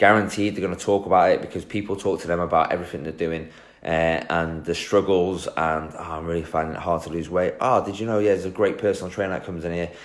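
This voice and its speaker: A man with a very deep, low voice speaks in a monotone, flat intonation with an English accent. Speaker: personal trainer and fitness business coach. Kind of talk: live stream talk. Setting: Facebook live video. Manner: casual, filler-heavy.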